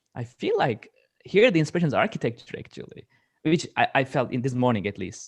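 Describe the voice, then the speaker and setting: A man with a non-native accent speaks at a fairly quick pace, his fairly high voice rising and falling in a lively way. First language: not English. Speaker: media artist. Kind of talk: panel discussion.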